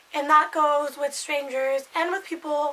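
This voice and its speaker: A raised, projected voice with monotone, flat intonation at a fairly slow pace, amid noticeable background noise. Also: woman. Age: 20s. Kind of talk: casual talk to camera.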